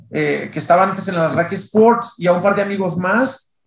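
A man with a high voice talks fairly slowly, his intonation fairly even. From Mexico, Tijuana. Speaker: sporting goods sales director. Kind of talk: casual interview.

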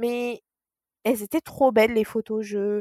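On a very clean recording with a silent background, a woman speaks at a fairly slow pace in a dry, close sound with no echo. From Mauritian heritage. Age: 20s. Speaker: psychologist and funeral advisor. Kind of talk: casual interview. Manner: halting, with repetitions.

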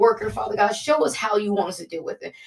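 A woman with a medium pitch speaks at a very fast pace. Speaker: prayer leader. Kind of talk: fervent spoken prayer, repetitive petitions to 'Father God'. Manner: earnest and pleading, piling up repeated 'we ask you' and 'Father God' refrains; hesitant filler-heavy delivery with frequent 'um' and self-corrections.

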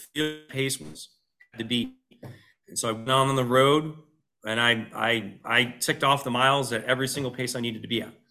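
A man with an American accent, fairly quick and fairly even in intonation, with big swings in loudness and music in the background. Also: medium pitch for a man. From upstate New York, Utica area. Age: 40s. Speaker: running coach. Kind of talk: casual interview.

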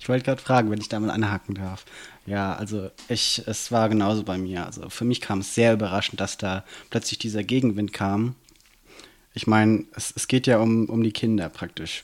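Speaking fairly quickly, the man keeps his intonation fairly even. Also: fairly low pitch for a man. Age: 20s. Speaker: student and city councillor. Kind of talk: casual interview. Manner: hesitant, many fillers.

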